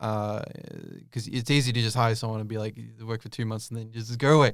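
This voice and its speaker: A man with an Australian accent, medium pitch and fairly even intonation on a very clean recording with a silent background. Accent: Australian accent, noticed by viewers. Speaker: YouTube creator and voice actor. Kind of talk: interview. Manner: casual, many fillers and restarts.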